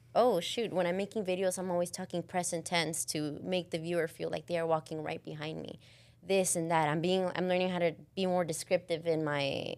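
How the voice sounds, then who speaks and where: Speaking in a Spanish accent, a woman uses a fairly low pitch and fairly even intonation at a moderate pace. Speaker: content creator. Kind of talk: casual chat. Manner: occasionally halting.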